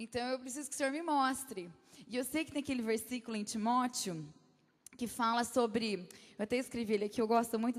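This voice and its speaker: A woman talks at a fairly quick pace with a fairly high pitch. Her intonation stays fairly even. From Brazil, Campinas. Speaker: guest speaker at church. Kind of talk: sermon. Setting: church. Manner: halting.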